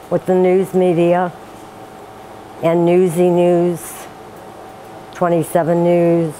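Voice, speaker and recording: Amid noticeable background noise, a woman speaks very slowly at a fairly low pitch. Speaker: church volunteer. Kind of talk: interview.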